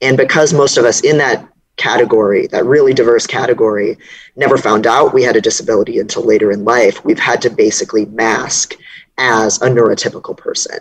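Fairly quick speech over a quiet background. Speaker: remote interview guest. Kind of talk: interview answer. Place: home room. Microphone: earbuds.

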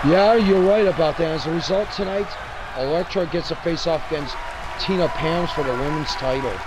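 Crowd noise fills the background as the speaker talks with ordinary pitch variation. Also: man, high pitch for a man, fairly quick pace. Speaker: wrestling commentator. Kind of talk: live wrestling commentary, play-by-play. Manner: punchy, interjecting 'oh man' and hype.

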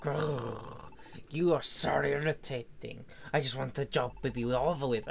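A man uses a put-on character voice with a medium pitch at a moderate pace. Background noise is clearly audible. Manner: irritated, impatient.

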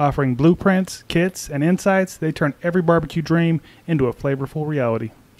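Here a man with an American accent has a plain, everyday voice. His pitch is fairly high, with ordinary pitch variation. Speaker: barbecue podcast co-host. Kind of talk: casual chat.

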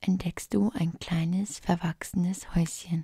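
The voice has a calm, dark, mellow tone that is somewhat breathy. It moves at a very slow pace. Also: woman. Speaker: relaxation guide / ASMR creator. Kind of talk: guided relaxation fantasy journey, sleep story. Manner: calm, soft-spoken, slow.

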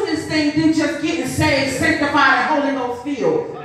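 Strong room echo and light background noise surround a woman speaking at a moderate pace. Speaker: preacher. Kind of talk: sermon. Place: church. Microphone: camera far.

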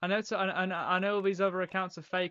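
A man talks in a British accent at a moderate pace. His pitch is high, and there is light background noise. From United Kingdom. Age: young. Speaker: gaming streamer. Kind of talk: live-stream gameplay commentary. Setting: home, live stream. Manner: casual, rambling. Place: home room.

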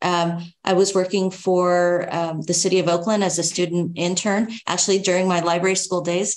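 A woman speaks with an American accent at a moderate pace. Her intonation is monotone and flat, and her loudness stays very even. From California. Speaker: librarian; panelist. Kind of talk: panel discussion. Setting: video call. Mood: earnest, reflective. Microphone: video call.

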